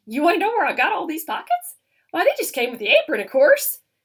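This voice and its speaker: In a put-on character voice, a woman talks at a very fast pace with an extremely high pitch and very wide pitch swings. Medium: read story.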